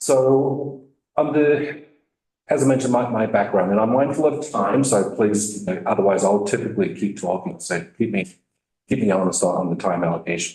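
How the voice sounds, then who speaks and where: A man with an Australian accent, medium pitch and very wide pitch swings, at a moderate pace. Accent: Australian, still noticeable. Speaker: state health IT program director. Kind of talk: testimony to legislative committee. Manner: hesitant, many fillers.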